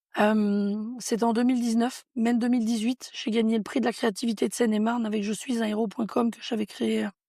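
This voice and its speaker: On a very clean recording with a silent background, a woman speaks fairly quickly with hardly any pauses, her fairly high pitch carrying a dark, mellow tone and monotone, flat intonation. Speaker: entrepreneur. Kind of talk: interview.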